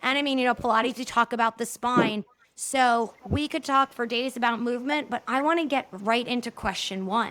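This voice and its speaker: In a New Jersey accent, the words come out at a moderate pace. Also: woman. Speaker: podcast host. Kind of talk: interview.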